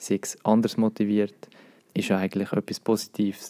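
A man's fairly low, dark, mellow voice in a Swiss accent, at a moderate pace with monotone, flat intonation, in a dry, close sound with no echo. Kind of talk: casual chat.

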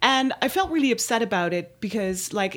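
This is a woman speaking with a Dutch accent. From Netherlands. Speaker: musician and podcast host's wife. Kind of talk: casual chat. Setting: studio.

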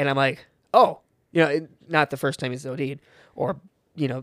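A man talks very fast in a very clean recording with a silent background and a dry, close sound that has no echo. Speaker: podcast guest. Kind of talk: casual chat. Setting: studio.

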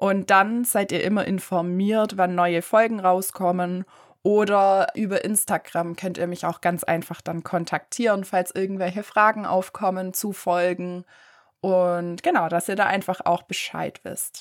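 On a very clean recording with a silent background, a woman speaks at a fairly slow pace in a monotone, flat intonation. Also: medium pitch for a woman. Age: 20s. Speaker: podcast host, chemistry student. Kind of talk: solo podcast introduction.

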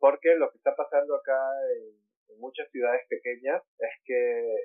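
A man is speaking. His pace is moderate. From Peru, Lima. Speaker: artist. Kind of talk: interview.

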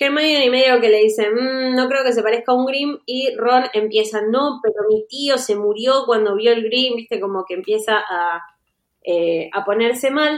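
At a fairly slow speed and with ordinary pitch variation comes an ordinary speaking voice. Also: woman, fairly high pitch for a woman. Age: 30s. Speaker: podcast host. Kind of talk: casual chat.

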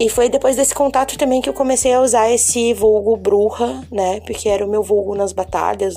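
Moderate pace with noticeable background noise. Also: woman. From Florianópolis, southern Brazil. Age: 30s. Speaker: poet and musical artist. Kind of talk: interview monologue.

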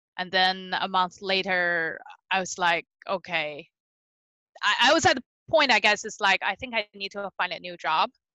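A woman's bright, sharp voice at medium pitch with ordinary pitch variation, against a quiet background. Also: moderate pace, big swings in loudness, dry, close sound with no echo. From Beijing, China. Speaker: dog trainer and business founder. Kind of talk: casual interview, personal storytelling. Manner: casual, hesitant with fillers.

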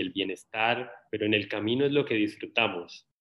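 A man's normal speaking voice, with ordinary pitch variation and a fairly slow pace. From Colombia. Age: 30s. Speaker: social media content creator. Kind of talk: casual interview conversation.

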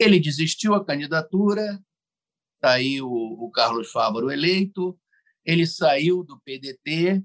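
A man talks very slowly in a fairly high pitch. His loudness swings widely. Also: lively intonation. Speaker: podcast host, journalist. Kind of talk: interview conversation.

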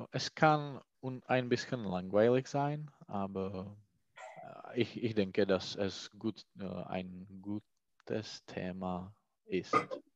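Speaking at a very slow pace with long, frequent pauses, a man uses a fairly low pitch and ordinary pitch variation, captured with a dry, close sound with no echo over a quiet background. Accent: Czech. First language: Czech (speaking German). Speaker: language student. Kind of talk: language lesson. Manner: halting.

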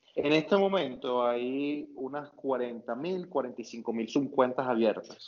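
With ordinary pitch variation, a man speaks at a medium pitch in a plain, everyday voice. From Venezuela, Maturín (eastern Venezuela). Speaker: finance academic and investor, former petroleum engineer. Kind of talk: interview conversation.

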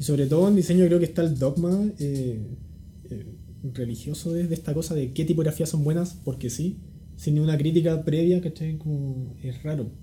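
Music plays in the background. Over it, a man with a fairly high pitch speaks at a moderate pace. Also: ordinary pitch variation. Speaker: type designer. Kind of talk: casual interview. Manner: calm, laid-back.

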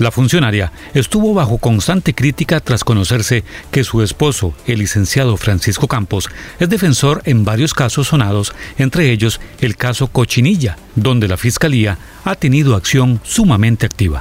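Over noticeable background noise, a man talks at a moderate pace in a medium pitch, with very even loudness and lively intonation. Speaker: news presenter. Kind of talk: news reading.

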